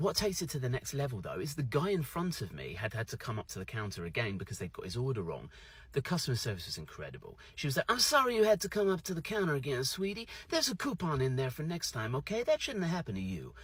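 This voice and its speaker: The pace is very fast. Pitch swings very widely throughout. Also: man. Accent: British. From UK. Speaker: social media creator. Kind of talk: storytelling monologue. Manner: animated.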